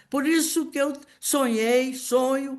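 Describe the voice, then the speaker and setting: A woman's high-pitched, very slow speech with lively intonation and audible room echo. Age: 80s+. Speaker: political activist. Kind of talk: speech at political meeting. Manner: impassioned; halting.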